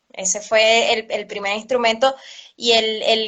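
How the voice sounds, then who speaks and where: At a fairly slow pace, a woman with a Venezuelan accent speaks at a fairly high pitch. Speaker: cello teacher. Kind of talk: interview. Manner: hesitant, many fillers.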